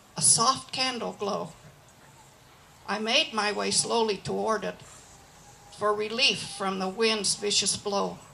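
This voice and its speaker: A woman talks in a fairly high voice. Noticeable background noise can be heard. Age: 80s+. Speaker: cowboy poet. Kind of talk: poetry reading. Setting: live event.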